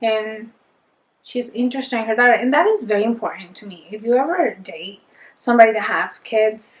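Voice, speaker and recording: A woman with a Spanish accent, fairly high in pitch, at a fairly quick pace with big swings in loudness. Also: ordinary pitch variation. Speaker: book reviewer. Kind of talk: casual book review monologue. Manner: animated.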